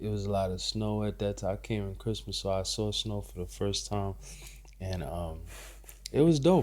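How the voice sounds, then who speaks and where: In an American accent, a man speaks at a moderate pace with a relaxed tone. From Trinidad. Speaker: barber. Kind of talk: casual chat. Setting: late-night recorded conversation. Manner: relaxed, many fillers and restarts.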